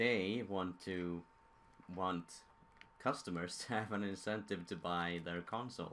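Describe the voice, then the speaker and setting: Using a very deep, low pitch and a Swedish accent, a man speaks at a fairly slow pace with fairly even intonation and long, frequent pauses. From Sweden. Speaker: gaming streamer. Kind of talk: live stream commentary.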